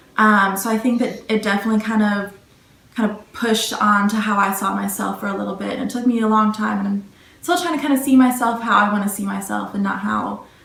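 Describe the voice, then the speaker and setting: A woman speaks very fast at a medium pitch with ordinary pitch variation, her voice carrying audible room echo over noticeable background noise. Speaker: college student interviewee. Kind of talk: interview answers. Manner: soft-spoken.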